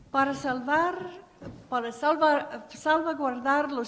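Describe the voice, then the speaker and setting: A woman speaks at a high pitch and a very slow pace with ordinary pitch variation, amid audible room echo and noticeable background noise. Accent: English. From US Midwest (Ohio). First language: English (speaking Spanish). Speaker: program director at a nonprofit. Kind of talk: conference panel talk. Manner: halting.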